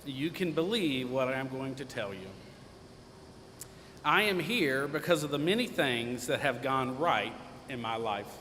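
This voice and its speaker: Audible room echo surrounds a man of medium pitch who speaks at a fairly slow pace with lively intonation and long, frequent pauses. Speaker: commencement speaker, alumnus. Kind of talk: commencement speech. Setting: stage with audience. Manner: loud; light-hearted, informal.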